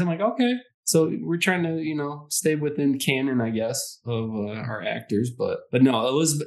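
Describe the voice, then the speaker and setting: Here is a man with an ordinary speaking voice. His intonation is lively. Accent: American. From Detroit, Michigan. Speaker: podcast co-host. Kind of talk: casual chat.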